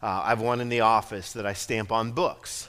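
A man's voice with a bright, sharp tone. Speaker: pastor. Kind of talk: sermon. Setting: church. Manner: halting.

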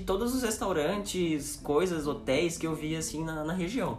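Lively intonation marks a man's fairly high-pitched voice at a moderate pace. Audible room echo and noticeable background noise surround him. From São Paulo region, Cotia. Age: 20s. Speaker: corporate sustainability specialist. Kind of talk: casual chat.

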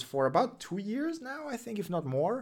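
A man's voice with very wide pitch swings. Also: very clean recording, silent background. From Russia. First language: Russian. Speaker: web development streamer and researcher. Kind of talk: livestream tech news show and Q&A. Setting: livestream from home. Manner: casual, with fillers and restarts.

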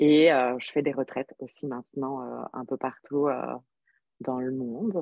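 A woman's very deep, low voice at a fairly slow pace, with ordinary pitch variation. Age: 30s. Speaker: yoga teacher and nurse. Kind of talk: casual interview chat.

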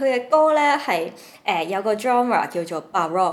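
There is noticeable background noise as a woman speaks with lively intonation. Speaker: podcast co-host. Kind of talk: casual chat.

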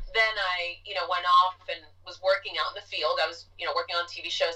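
With music playing in the background, a woman speaks at a fairly quick pace with an American accent. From US Northeast, Jackson Heights, Queens, New York. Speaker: actress. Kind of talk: casual chat.

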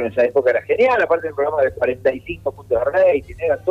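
Background music accompanies a man whose pitch varies in an ordinary way. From Argentina, Mar del Plata. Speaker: comedian. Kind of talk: casual interview.

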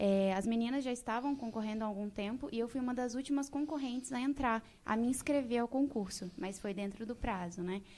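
A woman with an unremarkable speaking voice talks at a moderate pace. Her pitch is fairly high, with ordinary variation. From Brazil, Mato Grosso (Rondonópolis). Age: 20s. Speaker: beauty pageant winner and social media influencer. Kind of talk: casual interview chat.

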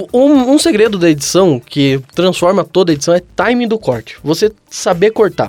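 High pitch and very wide pitch swings in a man's voice. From Brazil, São José. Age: 20s. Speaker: comedian. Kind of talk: casual chat.

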